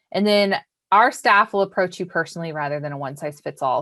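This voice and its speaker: Here is an ordinary speaking voice from a woman at a fairly low pitch, with ordinary pitch variation and a fairly quick pace. The recording is very clean and the background silent. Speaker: bank financial literacy educator. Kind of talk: educational presentation. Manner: casual, frequent um fillers.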